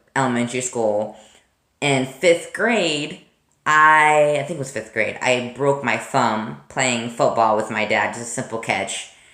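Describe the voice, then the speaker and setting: A man's bright, sharp voice at a fairly slow pace. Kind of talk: casual talk to camera. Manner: stuttering, hesitant.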